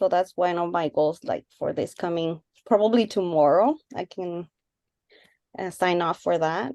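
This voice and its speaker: Against a quiet background, a woman speaks at a fairly slow pace with a fairly low pitch, a dark, mellow tone, ordinary pitch variation and a dry, close sound with no echo. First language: not English. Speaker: radiography student. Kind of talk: casual discussion. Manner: quiet, low volume.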